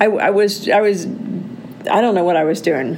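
A woman speaks in an animated tone at a fairly high pitch, with audible room echo and noticeable background noise. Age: 60s. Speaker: podcast host. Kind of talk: solo monologue podcast.

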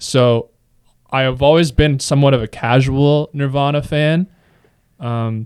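This man's pitch is fairly high. He speaks at a fairly slow pace with fairly even intonation. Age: 20s. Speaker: campus radio staffer. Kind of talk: casual chat.

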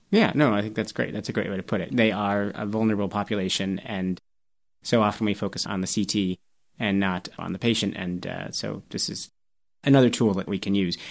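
On a very clean recording with a silent background, a man speaks at a fairly quick pace with fairly even intonation. He has a fairly low pitch and a plain, everyday voice. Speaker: toxicology podcast host, assistant professor. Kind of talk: interview on a medical podcast.

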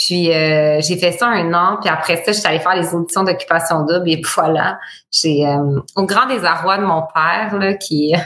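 Noticeable background noise sits behind a woman with a fairly low pitch. Her loudness stays very even and her pitch variation is ordinary. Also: fairly slow pace. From Bas-Saint-Laurent, Quebec. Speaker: entrepreneur, boutique founder. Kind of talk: casual interview.

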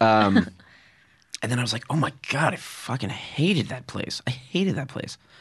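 A man with an American accent speaks at a moderate pace in a medium pitch, his voice somewhat breathy and his intonation lively. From Connecticut, Fairfield. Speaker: comedian. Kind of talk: casual chat.

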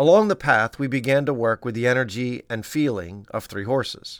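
In an ordinary speaking voice, a man talks at a moderate pace with ordinary pitch variation, on a very clean recording with a silent background. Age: 50s. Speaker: pediatrician and podcast host. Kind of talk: scripted narration.

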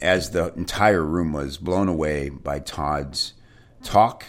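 Here a man speaks at a very slow pace. His pitch varies in an ordinary way. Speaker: podcast host. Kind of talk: enthusiastic interviewer.

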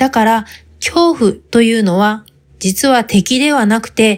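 Here is a woman with an ordinary speaking voice, pitched fairly high. She talks at a fairly slow pace with lively intonation. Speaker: podcast host. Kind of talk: scripted monologue.

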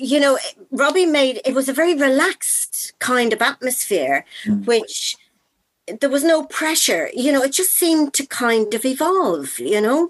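A woman with an Irish accent talks at a fairly slow pace. Her high pitch swings very widely. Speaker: actor.

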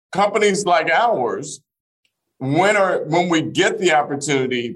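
With lively intonation and a fairly slow pace, this is a plain, everyday voice. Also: man. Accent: American. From Arkansas, US South. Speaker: business executive. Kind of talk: interview.

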